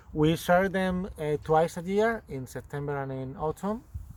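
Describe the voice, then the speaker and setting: A man talks in a Spanish accent. His pitch varies in an ordinary way. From Spain. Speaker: goat farmer and yarn dyer. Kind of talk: casual chat. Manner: halting, many fillers.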